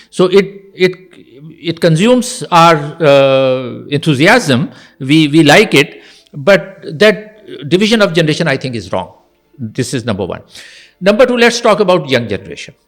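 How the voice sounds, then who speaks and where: Over music in the background, a man with a fairly high pitch speaks at a moderate pace, his pitch swinging very widely, with long, frequent pauses. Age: 60s. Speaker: university dean and educationist. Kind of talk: podcast interview.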